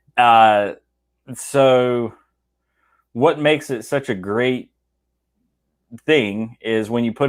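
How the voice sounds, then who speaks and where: A man speaks in a Southern US accent with ordinary pitch variation. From US South, South Georgia. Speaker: whiskey enthusiast co-host. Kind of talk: casual chat.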